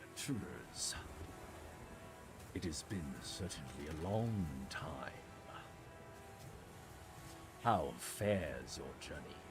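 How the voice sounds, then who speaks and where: A man whispers in a put-on character voice at a very slow pace. Long, frequent pauses break it up against loud background noise. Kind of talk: formal, old-fashioned.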